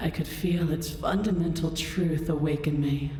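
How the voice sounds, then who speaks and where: A woman's booming, put-on character voice, very deep and low in pitch, at a moderate pace with clear echo. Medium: game stream. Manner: regal, commanding, condescending.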